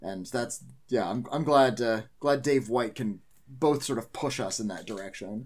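With an ordinary speaking voice, a man talks at a fairly slow pace, using a medium pitch and ordinary pitch variation. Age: 40s. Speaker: film critic. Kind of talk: casual chat.

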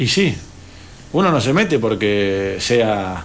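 Lively intonation from a man, with audible room echo and noticeable background noise. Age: 30s. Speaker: mayoral candidate. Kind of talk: radio interview.

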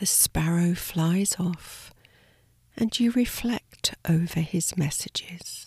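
Somewhat breathy and fairly low in pitch, a woman speaks at a very slow pace in a soothing, calm tone with ordinary pitch variation. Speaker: meditation guide. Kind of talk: guided sleep meditation. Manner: slow, soft-spoken and soothing; calm, gentle, with long pauses.

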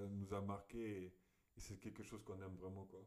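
A man speaks with a fairly low pitch. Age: 20s. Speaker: podcast co-host and student. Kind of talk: casual chat.

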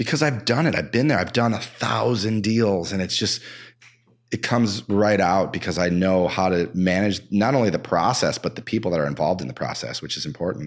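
Over a silent background in a very clean recording, a man with a fairly low pitch and vocal fry talks at a fairly quick pace with lively intonation. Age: 50s. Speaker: real estate broker. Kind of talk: casual chat. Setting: home basement studio.

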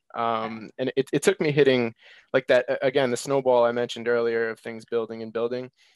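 A man with an ordinary speaking voice talks at a fairly quick pace and fairly even intonation, the sound dry and close with no echo over a quiet background. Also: medium pitch for a man. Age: 20s. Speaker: weight loss guest, aspiring health coach. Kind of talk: casual interview.

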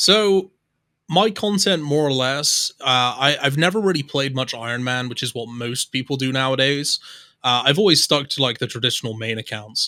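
In a very clean recording with a silent background, a man speaks at a moderate pace. His medium-pitched voice has a bright, sharp tone and lively intonation. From southwest England. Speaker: YouTuber and streamer. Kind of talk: casual chat.

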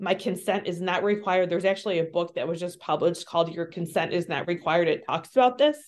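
Talking at a very fast pace, a woman with a Midwestern American accent has a fairly low pitch and ordinary pitch variation. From US Midwest. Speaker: social worker and adoption trauma trainer. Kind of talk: interview conversation.

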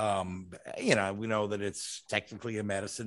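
The background is quiet. A man with an ordinary speaking voice talks in a fairly low pitch. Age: 50s. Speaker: motorsport podcast host. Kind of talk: casual chat.

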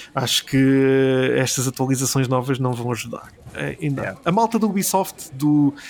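Lively intonation from a man at medium pitch, moderate in pace with hardly any pauses, over noticeable background noise. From Portugal, Alentejo. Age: 30s. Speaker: gaming and film website founder. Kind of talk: casual interview. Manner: hesitant, many fillers and repetitions.

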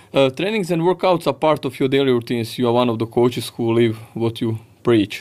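This man has a Croatian accent and a medium pitch. He talks at a fairly quick pace. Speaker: podcast host and fitness coach. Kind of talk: interview. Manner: halting.

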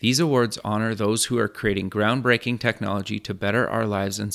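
A man's fairly low-pitched, normal speaking voice at a fairly quick pace, fairly even in intonation, on a very clean recording with a silent background and a dry, close sound with no echo. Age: 30s. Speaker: podcast and radio host. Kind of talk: scripted intro; interview.

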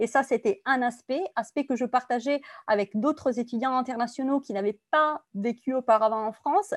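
A woman in an Italian accent, high-pitched with ordinary pitch variation, at a moderate pace, in a very clean recording with a silent background and a dry, close sound with no echo. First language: Italian (speaking French). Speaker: compliance consultant. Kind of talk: interview.

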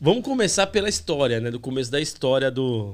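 Fairly high in pitch, a man talks at a fairly quick pace in an ordinary speaking voice with lively intonation. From São Paulo, east zone (Itaquera). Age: 40s. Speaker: graffiti artist. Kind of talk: casual chat.

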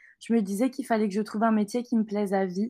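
Fairly quick, fairly even speech from a woman with a fairly high pitch and a dark, mellow tone, on a very clean recording with a silent background. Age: 20s. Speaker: business school graduate. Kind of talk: interview.

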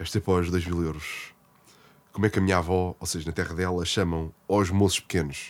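A man with a Lisbon accent speaks at a fairly quick pace in a very deep, low voice, recorded very cleanly against a silent background. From Portugal, Lisbon. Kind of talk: casual chat.

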